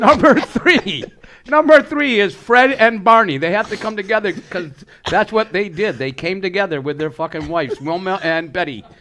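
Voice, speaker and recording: A man's high, bright, sharp voice, raised and projected, at a moderate pace with very wide pitch swings. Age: 60s. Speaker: podcast co-host. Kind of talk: casual chat.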